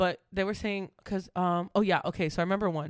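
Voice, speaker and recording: On a very clean recording with a silent background, a woman with an unremarkable speaking voice talks at a fairly quick pace and a fairly low pitch. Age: 20s. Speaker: podcast co-host. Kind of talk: casual chat.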